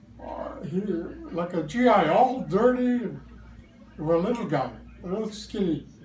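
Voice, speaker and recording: A man with a high voice speaks at a fairly slow pace, his pitch swinging very widely, over noticeable background noise. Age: 90s. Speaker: war veteran. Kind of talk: interview answer. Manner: hesitant, hard to follow.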